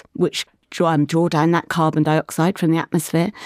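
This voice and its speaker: A woman with an unremarkable speaking voice and fairly low pitch talks at a moderate pace in a dry, close sound with no echo. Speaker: marine scientist, professor. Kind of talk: casual interview chat. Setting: studio.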